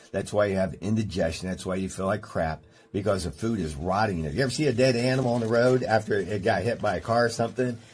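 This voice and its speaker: A man speaks very fast in a fairly low, somewhat breathy voice. His pitch rises and falls in an ordinary way. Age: 60s. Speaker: chiropractor. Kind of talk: radio health talk show. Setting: studio.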